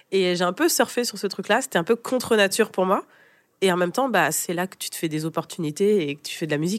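A woman talks at a very fast pace with a medium pitch. Her intonation is lively, and her loudness swings widely. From France. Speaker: brand consultant and jazz singer. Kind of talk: interview, casual chat.

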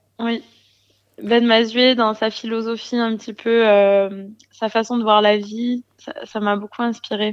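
A woman speaks at a very slow pace in a fairly high pitch. Her intonation is monotone and flat against a quiet background. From southern France, Gard. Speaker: singer-songwriter. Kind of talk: interview.

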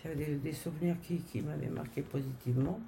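A woman with a very deep, low pitch speaks at a moderate pace amid audible room echo. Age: 60s. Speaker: grandmother. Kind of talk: casual chat.

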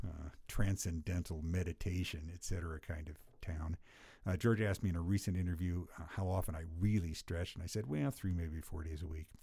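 In a very clean recording with a silent background, a man with a very deep, low pitch speaks at a fairly quick pace, his voice somewhat breathy and his tone dark and mellow. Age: 60s. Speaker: cycling coach. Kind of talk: casual chat. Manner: hesitant, with fillers.

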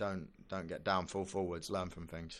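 In a British accent, a man with a very deep, low pitch speaks fairly slowly in a monotone, flat intonation, recorded very cleanly against a silent background. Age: 20s. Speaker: Olympic gymnast. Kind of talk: casual interview.

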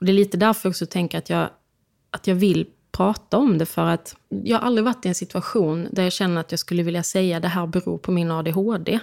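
Fairly quick, fairly even speech from a woman at medium pitch, dry and close with no echo, on a very clean recording with a silent background. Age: 30s. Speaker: opera singer. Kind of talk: interview. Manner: halting.

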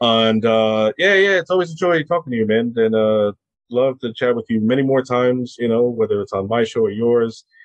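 At a moderate pace, a man with a medium-pitched voice speaks in a plain, everyday voice with ordinary pitch variation. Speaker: film podcaster. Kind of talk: casual chat.

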